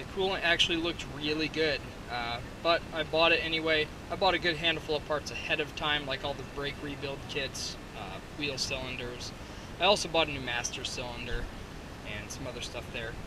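At a fairly quick pace, a man speaks with ordinary pitch variation in a dry sound with no echo and noticeable background noise. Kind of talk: casual vlog walkthrough. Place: open country. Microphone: phone near.

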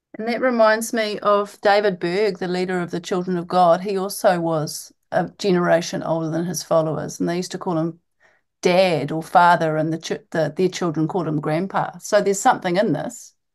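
Against a quiet background, a woman with a New Zealand accent talks fairly quickly at a fairly low pitch, with ordinary pitch variation. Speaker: podcast host, medical doctor. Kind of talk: interview.

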